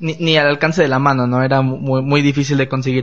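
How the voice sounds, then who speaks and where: A man races through his words at a very fast pace. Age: 20s. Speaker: podcast host. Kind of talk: casual chat. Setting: studio with small live audience and cameras. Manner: animated.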